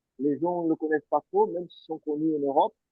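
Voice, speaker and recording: This man has a Portuguese accent. His voice sits fairly high. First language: Portuguese (speaking French). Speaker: former professional footballer. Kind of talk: interview. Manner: halting.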